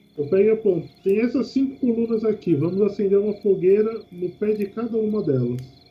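Here a man speaks with a high pitch and ordinary pitch variation. His pace is fairly quick, with hardly any pauses. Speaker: tabletop RPG player. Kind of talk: tabletop RPG play. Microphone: quiet, using distant webcam mic.

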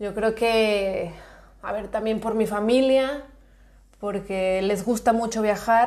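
A woman talks at a very slow pace in a fairly high voice. Audible room echo surrounds her. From Mexico, Guadalajara. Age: 20s. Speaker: podcast host. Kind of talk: casual chat.

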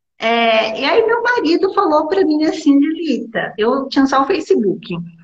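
A woman speaks at a high pitch with very wide pitch swings. Her pace is fairly slow, and the room echo is audible. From Brazil, small town. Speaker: lawyer and law teacher. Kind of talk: interview. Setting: Instagram live video call. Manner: halting.

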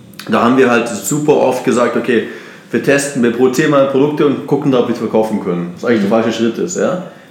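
Talking very fast in a room with audible echo and noticeable background noise, a man uses a medium pitch and ordinary pitch variation. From Germany, Munich. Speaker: entrepreneur. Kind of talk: casual interview. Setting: at host's house in Bali. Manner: energetic.

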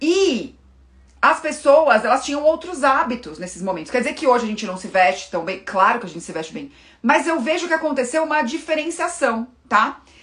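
A woman speaks at a fairly quick pace in a high voice, with very wide pitch swings and big swings in loudness. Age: 30s. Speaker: fashion and style consultant. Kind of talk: casual live-stream talk to viewers.

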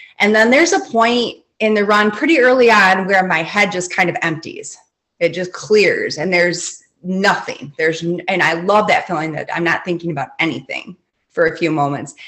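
A woman with an American accent and an ordinary speaking voice talks at a moderate pace. Her pitch is medium, with ordinary variation. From Michigan, lower peninsula. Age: 40s. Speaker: high school English teacher. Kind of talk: casual interview chat.

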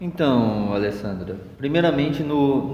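Audible room echo and noticeable background noise surround a man speaking at a fairly slow pace. His medium-pitched voice has lively intonation. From northern Paraná, Brazil (Londrina region). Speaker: agronomist. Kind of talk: interview.

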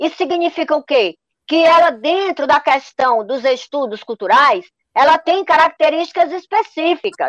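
Extremely high in pitch, a woman's voice moves at a moderate pace. The sound is dry and close with no echo. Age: 60s. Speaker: professor, artist and folk culture researcher. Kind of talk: radio panel discussion. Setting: remote call into radio show.

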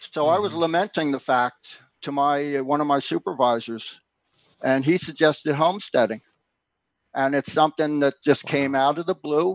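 In a normal speaking voice, a man with an American accent talks at a moderate pace and a fairly high pitch, with ordinary pitch variation and a dry, close sound with no echo. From Philadelphia, US. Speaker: homesteader and author. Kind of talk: casual interview. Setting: remote link.

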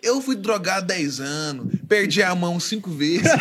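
Noticeable background noise beneath a man's lively intonation. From Brazil, Goiânia, Goiás. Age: 20s. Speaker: church musician, drummer. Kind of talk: casual chat, testimony.

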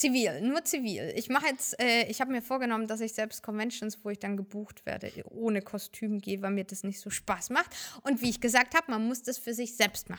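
On a very clean recording with a silent background, a woman with a normal speaking voice talks at a fairly quick pace with hardly any pauses, her pitch fairly high and its variation ordinary. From Germany, Fürth (Franconia). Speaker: professional cosplayer. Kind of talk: casual interview.

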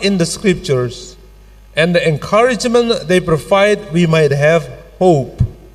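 A man speaks very slowly with lively intonation. Noticeable background noise runs underneath. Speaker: pastor. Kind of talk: sermon. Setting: church. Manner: formal.

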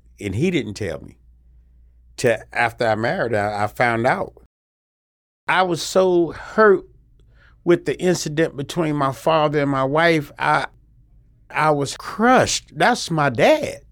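Speaking with a North Carolina accent at a fairly slow pace, the voice swings very widely in pitch and leaves long, frequent pauses. The recording is very clean, with a silent background. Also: man, fairly high pitch for a man. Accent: Southern US (North Carolina). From US South, North Carolina. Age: 50s. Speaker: military veteran in addiction recovery. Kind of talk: personal testimony. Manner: halting, with frequent fillers and repetitions.

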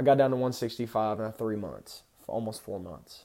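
An American accent on a man's medium-pitched voice, dark and mellow in tone. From Texas. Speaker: fitness podcaster. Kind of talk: solo monologue on nutrition. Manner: casual, many fillers.

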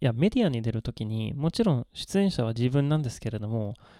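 In a very clean recording with a silent background, a man with a medium pitch and a dark, mellow tone speaks at a moderate pace with lively intonation. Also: dry, close sound with no echo. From Sweden. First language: Swedish (speaking Japanese). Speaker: Japanese tea expert. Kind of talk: casual chat.

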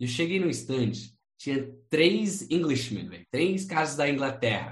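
A man with vocal fry speaks at a fairly slow pace and fairly high pitch, with lively intonation and big swings in loudness. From United States. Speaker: import-export entrepreneur. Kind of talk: interview, casual chat.

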